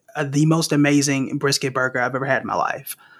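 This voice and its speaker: Music plays behind a man with a fairly high pitch. He speaks at a moderate pace in a monotone, with flat intonation. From Oklahoma, Tulsa. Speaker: investing educator. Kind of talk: casual chat.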